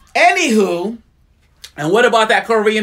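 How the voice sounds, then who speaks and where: A man talks at a high pitch and a fairly quick pace with ordinary pitch variation. Noticeable background noise is present. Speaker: spoken word poet. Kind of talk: poetry reading with commentary.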